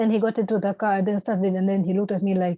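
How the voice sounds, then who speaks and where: A woman's dark, mellow, monotone voice with flat intonation at a fairly quick pace, dry and close with no echo against a quiet background. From Tanzania. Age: 40s. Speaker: stroke survivor. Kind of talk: personal testimony. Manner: halting.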